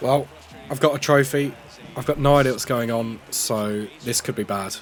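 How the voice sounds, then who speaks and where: Against noticeable background noise, a man with a British accent and medium pitch talks at a fairly quick pace with ordinary pitch variation. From UK. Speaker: gaming YouTuber. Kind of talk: video game commentary narration.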